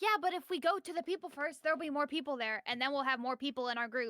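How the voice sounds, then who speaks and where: A woman talks very fast in a raised, projected voice at a high pitch with lively intonation. The sound is dry and close with no echo. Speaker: streamer playing tabletop RPG player. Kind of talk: tabletop role-play game chat. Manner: loud.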